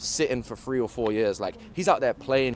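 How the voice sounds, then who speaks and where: Over noticeable background noise, a man with a British accent talks at a fairly quick pace and a medium pitch. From England, London. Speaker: college football player. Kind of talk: interview.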